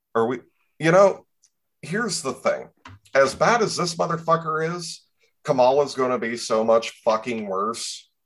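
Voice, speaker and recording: A fairly high-pitched man with an American accent, very wide pitch swings, a moderate pace and long, frequent pauses. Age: 30s. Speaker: podcast host. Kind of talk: casual chat. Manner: animated.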